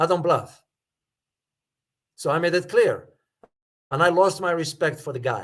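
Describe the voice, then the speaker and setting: The man's voice is high, with fairly even intonation. He keeps a moderate pace broken by long, frequent pauses. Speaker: geopolitics commentator and professor. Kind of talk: live stream analysis and Q&A. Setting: live stream. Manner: firm.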